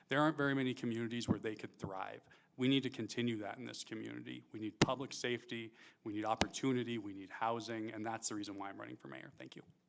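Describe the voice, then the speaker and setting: A man at a medium pitch with an American accent, very fast pace, ordinary pitch variation and big swings in loudness. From Montana, Great Falls. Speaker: mayoral candidate. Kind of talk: debate opening statement. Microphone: mic cracking.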